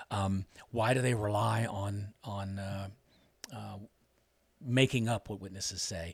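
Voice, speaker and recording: On a very clean recording with a silent background, a man with a fairly low, somewhat breathy voice speaks with fairly even intonation and long, frequent pauses. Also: fairly slow pace. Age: 50s. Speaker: former judge. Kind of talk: interview. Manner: hesitant, many fillers.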